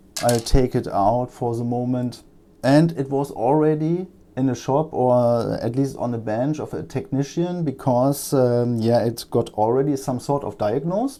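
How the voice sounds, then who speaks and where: In a very clean recording with a silent background, a man with a German accent talks at a medium pitch with ordinary pitch variation. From Germany. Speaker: electronics repair technician. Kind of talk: tutorial. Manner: halting, many fillers.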